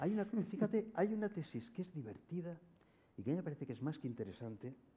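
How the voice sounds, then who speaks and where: Speaking at a very fast pace, a man with a high pitch and a dark, mellow tone makes very wide pitch swings. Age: 70s. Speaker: philosopher. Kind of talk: public forum conversation.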